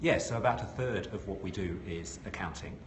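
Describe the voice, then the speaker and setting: Noticeable noise carries on in the background. A man talks at a medium speed. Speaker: CEO of private equity outsourcing firm, former accounting firm boss. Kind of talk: interview answer.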